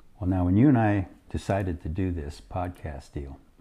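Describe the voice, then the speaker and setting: A man speaks with a dark, mellow tone that is somewhat breathy. His pitch varies in an ordinary way, and the background is quiet. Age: old. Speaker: podcast co-host, grandfather. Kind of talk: casual chat. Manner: halting.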